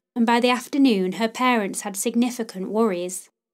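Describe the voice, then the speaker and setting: A woman's fairly high voice, an ordinary speaking voice, with ordinary pitch variation at a moderate pace, on a very clean recording with a silent background. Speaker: podcast host. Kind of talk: true-crime narration, scripted and read aloud. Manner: solemn, measured, even-paced storytelling; formal, serious, respectful toward victims.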